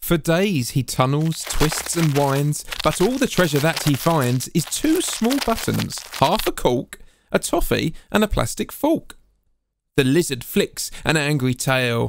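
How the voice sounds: This man speaks at a fairly high pitch with vocal fry. His pace is fairly slow and his pitch swings are big.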